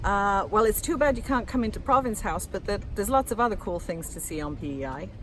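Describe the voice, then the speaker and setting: A woman's very fast delivery at medium pitch, with very wide pitch swings, vocal fry, and hardly any pauses. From England, Lancashire-born, moved around (RAF family). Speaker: media and communications officer, author, passer-by interviewed. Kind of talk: impromptu street interview. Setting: outdoors in front of a building under construction.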